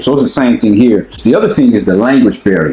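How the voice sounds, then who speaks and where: A man speaks very fast in an American accent while noticeable noise sits in the background. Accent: American accent, stands out in Ghana. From United States. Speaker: expat sharing experience. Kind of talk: casual chat. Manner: casual, slangy.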